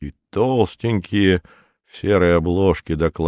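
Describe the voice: A quiet background behind plain reading aloud, its pitch varying in an ordinary way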